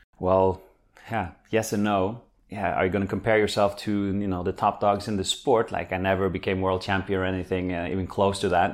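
A man with a Norwegian accent, fairly low in pitch, in a monotone, flat delivery at a fairly quick pace, on a very clean recording with a silent background. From Norway. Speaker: former pro squash player, physiotherapist. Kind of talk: interview, casual conversation. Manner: hesitant, filler words.

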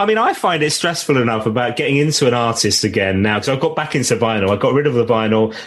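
A man talks at a very fast pace with hardly any pauses, medium pitch, and ordinary pitch variation. His loudness stays very even, with noticeable background noise. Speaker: podcast host and former radio presenter. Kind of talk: casual interview.

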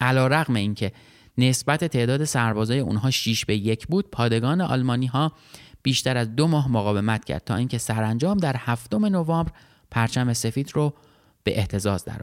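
An unremarkable speaking voice from a man, medium in pitch, with lively intonation and a fairly quick pace, in a dry, close sound with no echo on a very clean recording with a silent background. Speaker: history podcast host and narrator. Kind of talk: scripted narration.

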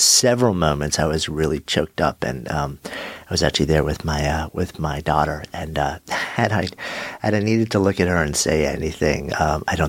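Speaking at an extremely low pitch with a slightly husky edge, a man moves at a fairly quick pace with ordinary pitch variation.

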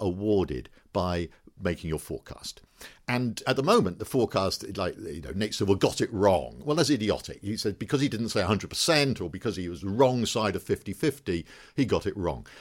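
A man talks at a moderate pace in a fairly low pitch. Vocal fry runs through his voice. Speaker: statistician and professor. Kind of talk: interview conversation. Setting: office. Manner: enthusiastic.

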